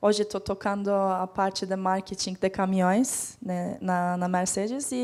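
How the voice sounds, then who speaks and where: A woman with a Turkish accent speaks at a fairly slow pace. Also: very clean recording, silent background. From Turkey. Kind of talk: introductory, professional.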